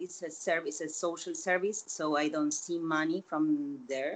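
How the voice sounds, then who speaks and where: Intonation stays fairly even as a woman talks with a Spanish accent. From Latin America. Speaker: opera actress and theater teacher. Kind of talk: casual interview.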